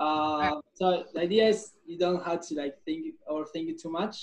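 The speaker is a man with a high voice. His pitch variation is ordinary. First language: Spanish. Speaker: podcast host. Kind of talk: casual interview chat. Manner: halting.

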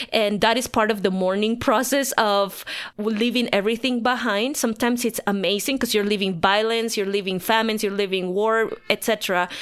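In a Spanish accent, a woman speaks at a fairly high pitch and a fairly quick pace, with hardly any pauses. Her intonation is fairly even and her loudness very even. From Bolivia, La Paz. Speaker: pastor. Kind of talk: interview.

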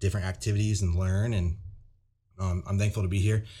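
A somewhat breathy, fairly low-pitched man with a Midwestern US accent and fairly even intonation, on a very clean recording with a silent background. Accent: US Midwest. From Iowa, small town west of Des Moines. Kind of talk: casual chat.

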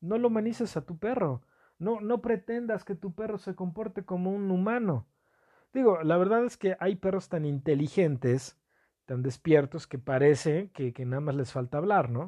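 A man with a Mexican accent speaks at a moderate pace and a high pitch. His intonation is lively. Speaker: podcast host. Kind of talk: casual monologue. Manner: hesitant, many fillers.

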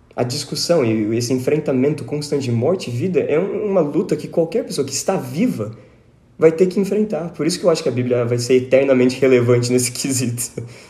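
Speaking at a very fast pace, a man with a fairly high, somewhat breathy voice and a dark, mellow tone uses lively intonation. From Brazil, São Paulo state (Tatuí). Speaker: teacher and musician. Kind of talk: casual Bible study discussion.

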